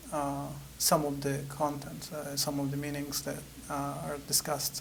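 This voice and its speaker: Over audible room echo, a man with an Italian accent talks at a moderate pace in a fairly high voice. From Italy. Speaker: author. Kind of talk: interview. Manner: halting, many fillers.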